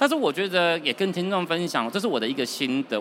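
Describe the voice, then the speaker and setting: Noticeable background noise runs behind a man talking at a very fast pace with very wide pitch swings. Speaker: company finance director. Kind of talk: interview. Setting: trade show floor.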